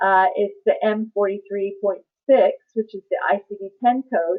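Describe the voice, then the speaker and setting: Using an ordinary speaking voice, a woman talks at a fairly slow pace. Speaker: medical billing trainer. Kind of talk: webinar presentation. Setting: online webinar.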